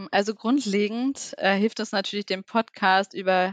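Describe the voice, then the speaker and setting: A woman with a plain, everyday voice at medium pitch, fairly slow pace and fairly even intonation, with a dry, close sound with no echo on a very clean recording with a silent background. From Lower Saxony, Germany (near Duderstadt). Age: 20s. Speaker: social media manager. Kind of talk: interview.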